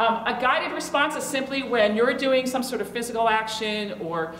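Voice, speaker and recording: Fairly high in pitch, a woman speaks with an American accent amid noticeable background noise and audible room echo. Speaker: law professor. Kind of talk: conference talk. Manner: fast.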